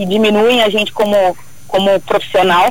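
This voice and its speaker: Noticeable background noise runs under this recording. A woman speaks at a fairly high pitch. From São Paulo state, Brazil. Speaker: truck driver instructor. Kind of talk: radio interview.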